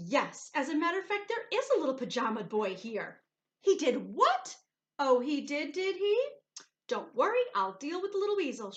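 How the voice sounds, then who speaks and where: A woman's put-on character voice, high-pitched, shrill and growling, with very wide pitch swings at a moderate pace. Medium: read story. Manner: snarling, shrill.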